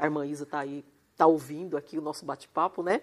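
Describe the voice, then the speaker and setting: Speaking at a fairly quick pace, a woman with a very deep, low voice keeps a monotone, flat intonation in a very clean recording with a silent background. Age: 50s. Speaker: lawyer and evangelist. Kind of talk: testimony. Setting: live stream.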